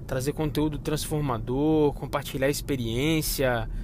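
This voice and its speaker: The man's pitch is fairly high and his intonation fairly even, at a moderate pace. Audible room echo surrounds his voice. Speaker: podcast host, finance director. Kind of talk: casual monologue. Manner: informal, filler-heavy.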